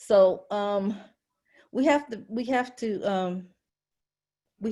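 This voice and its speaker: A woman's medium-pitched voice with an American accent, very slow and passionate, with a dark, mellow tone and ordinary pitch variation, in a very clean recording with a silent background. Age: 70s. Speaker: work group member and caregiver support group leader. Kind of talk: meeting discussion.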